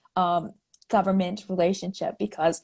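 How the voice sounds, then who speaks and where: Her tone is dark and mellow. This woman sounds somewhat breathy. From Navajo Nation, New Mexico (Farmington). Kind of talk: interview. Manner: halting, many fillers.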